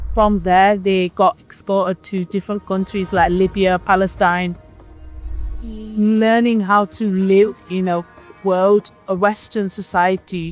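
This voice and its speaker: A woman's medium-pitched, monotone, flat delivery at a very slow pace, with music in the background. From Manchester, England. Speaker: interviewee. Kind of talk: interview answer.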